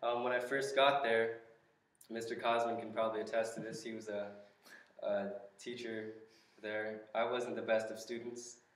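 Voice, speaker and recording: In an American accent, the speaker goes at a moderate pace with a flat, monotone delivery, long and frequent pauses, and audible echo in the room. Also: man, medium pitch for a man. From Southern California, Los Angeles County; California. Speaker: church member giving testimony. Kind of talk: testimony. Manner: halting, many fillers. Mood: earnest, reflective. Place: classroom. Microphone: camera far.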